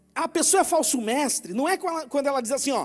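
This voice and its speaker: This man speaks at an extremely high pitch. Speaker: preacher. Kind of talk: sermon.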